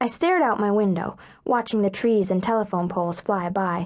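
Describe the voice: Ordinary pitch variation across plain reading aloud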